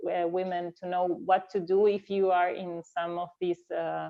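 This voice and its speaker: This is a woman's voice. She speaks with a non-native accent. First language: not English. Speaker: fencing coach. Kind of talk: panel discussion. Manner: halting, many fillers and repeats.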